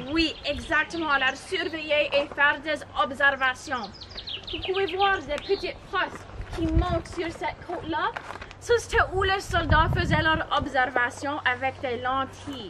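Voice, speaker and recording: A raised, projected voice at a fairly slow pace, over noticeable background noise. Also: woman, high pitch for a woman, ordinary pitch variation. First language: English (speaking French). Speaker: tour guide. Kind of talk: guided tour talk.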